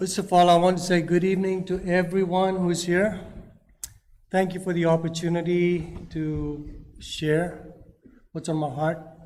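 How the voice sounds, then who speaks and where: Speaking with a non-native accent, a man with a high pitch talks in a monotone, flat way at a moderate pace, with long, frequent pauses and audible room echo. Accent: foreign accent, noticeable. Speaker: public commenter at county meeting. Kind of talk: public comment speech.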